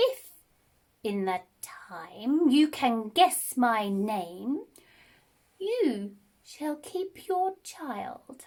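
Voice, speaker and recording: A woman puts on a character voice with a high pitch and very wide pitch swings. She talks very slowly, with long, frequent pauses. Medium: read story. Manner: sly, mocking.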